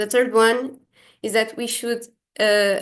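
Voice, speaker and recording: A woman speaks fairly slowly with a fairly high pitch and fairly even intonation. It is a plain, everyday voice, set against a quiet background. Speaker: exercise science researcher. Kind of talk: lecture.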